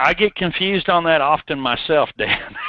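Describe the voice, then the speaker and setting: A man with a Southern US accent, fairly slow in pace and lively in intonation. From US South. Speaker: software developer presenter. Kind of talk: technical webinar tutorial. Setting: online webinar.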